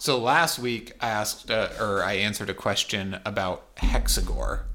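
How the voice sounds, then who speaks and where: At a moderate pace, a man talks with an unremarkable speaking voice. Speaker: podcast co-host. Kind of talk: casual chat about card game.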